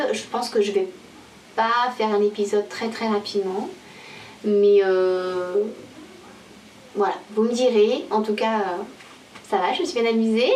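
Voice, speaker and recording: The recording has audible room echo. Background noise is noticeable too. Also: woman. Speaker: knitting podcaster. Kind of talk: casual video podcast monologue. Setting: home video recording to camera. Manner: hesitant, many fillers.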